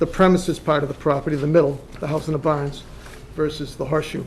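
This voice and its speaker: A man with an American accent speaks at a fairly high pitch in a flat, monotone way. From Massachusetts. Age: 60s. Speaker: property owner. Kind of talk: presentation.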